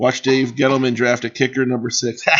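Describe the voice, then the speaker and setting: At a moderate pace, a man with a medium pitch talks in an animated tone. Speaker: sports streamer, fan commentator. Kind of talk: casual live stream chat. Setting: live stream. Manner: loud.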